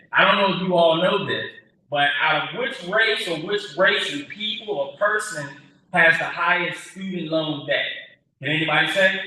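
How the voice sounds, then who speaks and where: At a moderate pace, a loud voice with ordinary pitch variation carries audible room echo. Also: man, high pitch for a man. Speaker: workforce board representative. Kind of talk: public speech.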